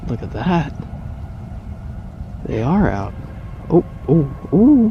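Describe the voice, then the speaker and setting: A man with a high pitch speaks at a very slow pace. His pitch swings very widely over noticeable background noise. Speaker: vlogger. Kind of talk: casual vlog. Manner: excited.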